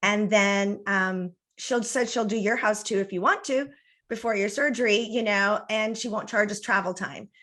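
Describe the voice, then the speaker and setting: A woman with a bright, sharp tone and fairly high pitch speaks at a moderate pace with fairly even intonation, on a very clean recording with a silent background. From US-Mexico border. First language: Spanish. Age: 50s. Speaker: interior designer and feng shui consultant. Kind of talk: podcast interview.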